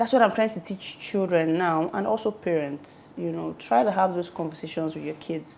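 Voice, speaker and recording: A woman's fairly low voice with vocal fry, lively intonation, big swings in loudness, a moderate pace and hardly any pauses. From Nigeria. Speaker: reality TV personality. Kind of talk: interview testimony.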